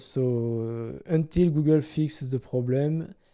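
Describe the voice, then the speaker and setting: A man's dark, mellow tone, with fairly even intonation and a non-native accent. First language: French. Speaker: gaming YouTuber. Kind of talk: casual explainer to camera. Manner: halting, many fillers.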